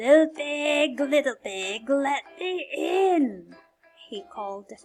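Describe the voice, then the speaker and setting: Over music in the background, a woman uses a put-on character voice at a high pitch and a very slow pace. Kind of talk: read-aloud children's story. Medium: read story. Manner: funny, exaggerated.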